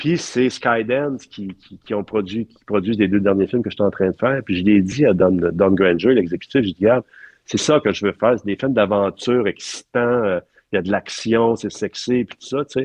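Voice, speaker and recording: At a moderate pace, a man with a fairly low pitch speaks with big swings in loudness. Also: ordinary pitch variation. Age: 60s. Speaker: film art director. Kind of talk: interview conversation. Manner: halting with many fillers.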